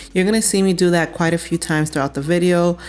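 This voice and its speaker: A woman's plain, everyday voice, fairly low in pitch, with fairly even intonation and an American accent. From Cameroon. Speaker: cooking channel host. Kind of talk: cooking tutorial voiceover. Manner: casual.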